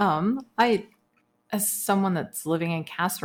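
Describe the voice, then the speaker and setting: The speaker has an American accent. Pitch moves in an ordinary way. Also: woman. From Texas. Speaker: podcast co-host. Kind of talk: casual chat.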